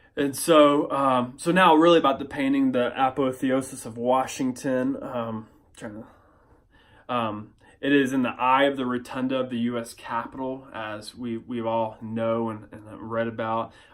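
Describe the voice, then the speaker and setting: At a moderate pace and medium pitch, a man speaks with fairly even intonation and big swings in loudness on a very clean recording with a silent background. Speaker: pastor. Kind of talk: class presentation. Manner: halting with many fillers.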